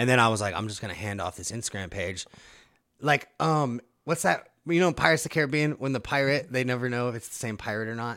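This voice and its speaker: In a very clean recording with a silent background, a man with an American accent talks very fast in a medium pitch, with lively intonation and a bright, sharp tone. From Nebraska (Omaha). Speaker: rapper. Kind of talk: casual chat.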